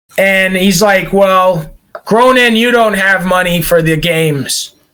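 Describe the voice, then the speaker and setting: A raised, projected, put-on character voice at a fairly slow pace. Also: man, high pitch for a man. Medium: actual play.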